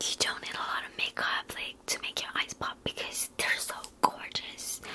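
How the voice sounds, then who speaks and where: A soft-spoken woman whispers at a moderate pace against light background noise. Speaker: makeup roleplay creator. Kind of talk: roleplay chat to viewer. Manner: soft ASMR whisper, close and intimate. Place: home room. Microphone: phone near.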